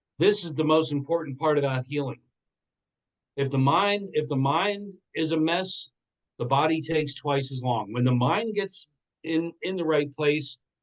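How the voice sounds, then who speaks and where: A man in a normal speaking voice talks at a moderate pace, his pitch fairly high, with ordinary pitch variation. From Pennsylvania Dutch Country, Lancaster. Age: 60s. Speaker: entrepreneur and motivational speaker. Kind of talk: interview testimony.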